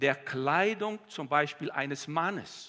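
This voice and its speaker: A man talks with a warm tone and a fairly high pitch. His pitch varies in an ordinary way against a quiet background. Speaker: preacher. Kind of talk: sermon. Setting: church. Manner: warm, earnest, heartfelt preaching. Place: church. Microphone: headset.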